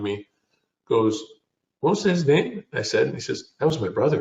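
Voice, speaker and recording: A somewhat breathy man with a Canadian accent at a moderate pace. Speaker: business founder and CEO. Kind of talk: interview. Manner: halting.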